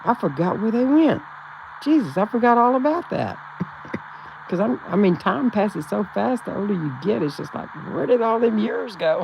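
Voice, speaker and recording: A woman with a Texan accent makes very wide pitch swings, with noticeable background noise behind her. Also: fairly high pitch for a woman, moderate pace. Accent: Texan Southern US. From Texas, rural central. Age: 70s. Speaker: livestream host. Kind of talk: casual chat with live chat readers.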